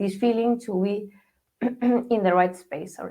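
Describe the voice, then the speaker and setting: A fairly high-pitched woman with a Spanish accent and fairly even intonation. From Spain. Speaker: mobile app marketer. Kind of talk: interview. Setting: radio show.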